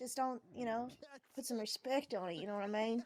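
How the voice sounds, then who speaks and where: A woman talks at a fairly quick pace with a slight Southern US accent. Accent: light Southern twang. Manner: casual, direct.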